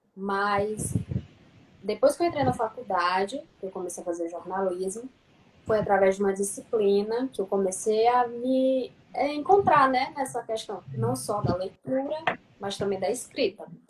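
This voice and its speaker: Noticeable background noise sits behind a woman speaking at a moderate pace, her medium-pitched voice carrying lively intonation. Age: 30s. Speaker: journalism student and writer. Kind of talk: casual live-stream chat. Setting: online live stream.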